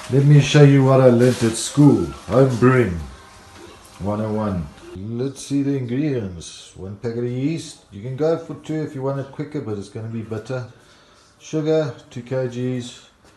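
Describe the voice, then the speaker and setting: Over music in the background, a man talks at a medium pitch with ordinary pitch variation and big swings in loudness. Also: moderate pace. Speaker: home brewer. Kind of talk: tutorial.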